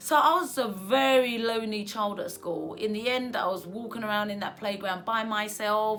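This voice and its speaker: Against noticeable background noise and audible room echo, a woman with a fairly high pitch and ordinary pitch variation speaks at a moderate pace with hardly any pauses. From Essex, England (from age 8; born in Asia). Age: 40s. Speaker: personal vlogger. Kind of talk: personal storytelling monologue. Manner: hesitant, many fillers.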